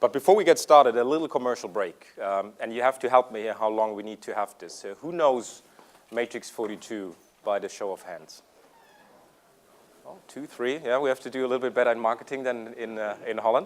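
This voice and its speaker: A man with a slight German accent, fairly quick in pace, with big swings in loudness and ordinary pitch variation. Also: medium pitch for a man. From Germany. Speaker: tech executive presenter. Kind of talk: conference presentation. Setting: stage with audience. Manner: hesitant, many fillers.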